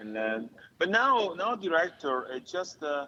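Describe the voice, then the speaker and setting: A man with an Italian accent, fairly slow pace, ordinary pitch variation. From Italy. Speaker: stuntman and actor. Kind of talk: casual interview chat. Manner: halting, many fillers.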